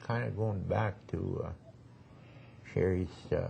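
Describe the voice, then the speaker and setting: A man's fairly low, somewhat breathy voice with a dark, mellow tone at a very slow pace. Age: 70s. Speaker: Métis elder. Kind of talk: oral history interview. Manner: halting.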